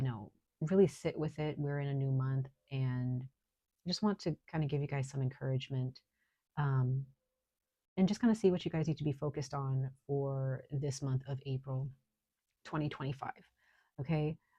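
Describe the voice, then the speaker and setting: A woman's very deep, low voice, somewhat breathy with a dark, mellow tone, fairly even intonation, a moderate pace and long, frequent pauses. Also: quiet background. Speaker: tarot reader. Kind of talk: tarot reading. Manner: halting.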